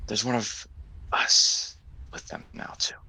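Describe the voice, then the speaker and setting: Someone speaks in a put-on character voice at a fairly slow pace. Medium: actual play.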